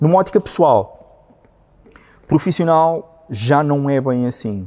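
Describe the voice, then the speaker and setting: A man with a dark, mellow tone. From northern Portugal. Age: 30s. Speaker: communications professional; interview guest. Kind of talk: interview conversation. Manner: halting, many repetitions and fillers. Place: studio.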